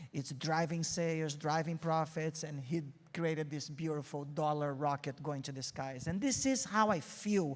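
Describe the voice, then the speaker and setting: Here a man speaks with a Brazilian accent at a fairly high pitch. The recording is very clean, with a silent background. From Brazil, Rio de Janeiro. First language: Portuguese. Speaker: marketing agency CEO, keynote speaker. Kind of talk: keynote talk. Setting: stage with audience.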